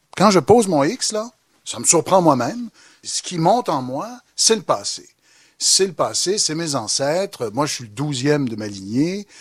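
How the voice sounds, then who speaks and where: A man talks at a moderate pace with very wide pitch swings, on a very clean recording with a silent background. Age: 40s. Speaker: historian and professor. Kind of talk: public debate. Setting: bookstore event with audience.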